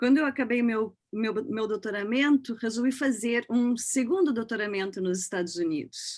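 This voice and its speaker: At a moderate pace, a woman uses a normal speaking voice with a fairly high pitch and ordinary pitch variation. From southern Brazil, Porto Alegre. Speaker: professor. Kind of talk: panel discussion introduction.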